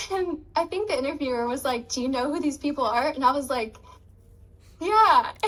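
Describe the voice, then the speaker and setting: A woman speaks in a high voice. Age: 20s. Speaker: dropshipping student and business owner. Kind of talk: interview. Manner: casual, many fillers.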